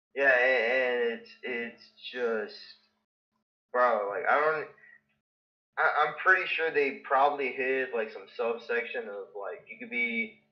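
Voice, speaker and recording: This man talks at a very slow pace, stopping for long, frequent pauses. His loudness swings widely from moment to moment. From Russia. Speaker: caller. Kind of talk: casual chat.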